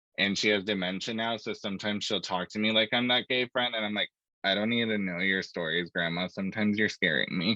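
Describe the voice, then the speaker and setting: A man with an American accent talks at a very fast pace. His pitch is fairly low and his intonation fairly even. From US, small country town, Mexican family. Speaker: tech student panelist. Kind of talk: panel discussion.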